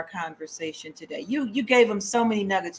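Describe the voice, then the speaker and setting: A woman with a fairly high pitch and a somewhat breathy voice speaks at a moderate pace with lively intonation. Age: 60s. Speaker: radio host. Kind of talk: interview.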